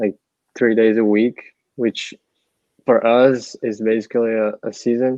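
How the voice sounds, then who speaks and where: A man speaks with a Portuguese accent at a medium pitch. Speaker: college soccer player. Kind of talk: interview.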